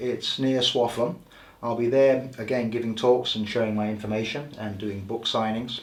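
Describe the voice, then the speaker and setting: Here a man talks with an English accent. He keeps a moderate pace. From England. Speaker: healer and author. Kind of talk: interview.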